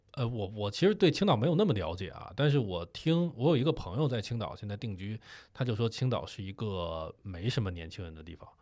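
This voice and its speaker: A man speaks at a fairly quick pace with a fairly low pitch, over a quiet background. His pitch swings very widely and his loudness changes a lot. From Beijing. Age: 30s. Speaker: podcast co-host, video creator. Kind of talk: casual chat.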